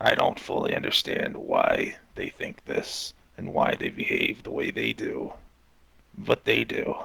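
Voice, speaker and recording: A man puts on a character voice at an extremely high pitch. It is raspy and fairly slow. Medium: game stream. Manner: calm, guarded, cryptic.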